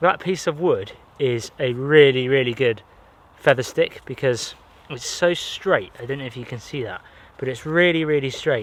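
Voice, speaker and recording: A man with a Somerset accent talks at a moderate pace with medium pitch and ordinary pitch variation. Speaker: bushcraft and camping vlogger. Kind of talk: solo outdoor vlog narration. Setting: outdoors in a forest. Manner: casual, conversational.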